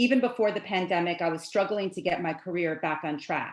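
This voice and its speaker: There's an ordinary speaking voice from this woman, who talks at a moderate pace with ordinary pitch variation. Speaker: spoken word artist. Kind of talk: spoken word performance. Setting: home video call.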